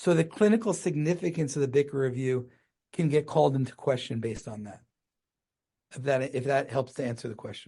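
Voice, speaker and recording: Over a quiet background, a man with an American accent talks at a fairly quick pace, his fairly high, somewhat breathy voice carrying a dark, mellow tone, ordinary pitch variation, and big swings in loudness. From US Northeast (New Jersey). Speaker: gynecologic oncologist. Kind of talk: podcast interview. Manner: fast; mumbling at times.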